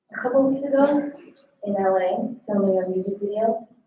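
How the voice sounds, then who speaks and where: A woman's voice shows ordinary pitch variation. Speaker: singer-songwriter performing live. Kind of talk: on-stage song introductions between performances. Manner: casual, hesitant with many fillers. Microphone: sound issues during the set.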